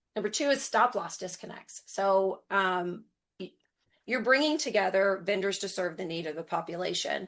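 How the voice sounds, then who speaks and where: A woman with a normal speaking voice talks at a moderate pace and medium pitch, her intonation lively and her loudness swinging widely over a quiet background. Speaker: health plan implementation lead. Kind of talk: webinar presentation.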